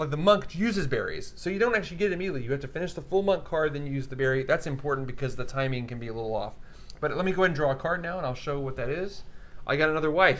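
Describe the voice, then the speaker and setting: Audible room echo surrounds a man talking very fast with lively intonation. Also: fairly high pitch for a man. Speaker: board game livestream host. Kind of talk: casual game playthrough and rules explanation. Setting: livestream studio. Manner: too quiet, soft-spoken.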